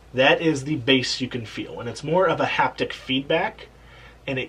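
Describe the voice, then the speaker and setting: Someone speaks at a moderate pace. Noticeable background noise runs throughout. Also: man. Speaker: tech reviewer. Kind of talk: casual talk to camera.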